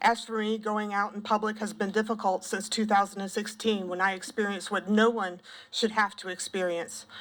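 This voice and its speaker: A woman with a Southern US accent and a medium-pitched, shaky voice talks at a fairly quick pace in a monotone, flat manner. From South Carolina, Pendleton. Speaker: former school counselor and parent testifying. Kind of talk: public testimony. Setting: legislative committee hearing.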